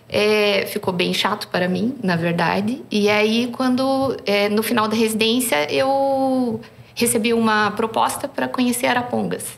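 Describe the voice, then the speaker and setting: A woman with a Curitiba accent talks at a fairly slow pace in a fairly high pitch, with ordinary pitch variation, very even loudness and hardly any pauses, against noticeable background noise. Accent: Curitiba accent, still noticeable. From southern Brazil, Curitiba. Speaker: surgeon. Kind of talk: podcast interview.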